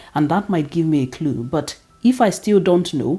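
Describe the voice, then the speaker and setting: A woman's very deep, low voice with a Nigerian accent, a dark, mellow tone, lively intonation and a moderate pace. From Nigeria (Igbo). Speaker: teacher and vlogger. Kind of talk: opinion vlog monologue.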